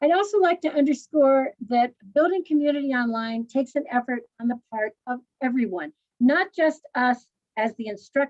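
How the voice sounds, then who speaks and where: Energetic and high-pitched, a woman speaks at a moderate pace with lively intonation in a dry, close sound with no echo. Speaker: language teacher presenting at conference. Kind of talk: online conference talk. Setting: video presentation, standing.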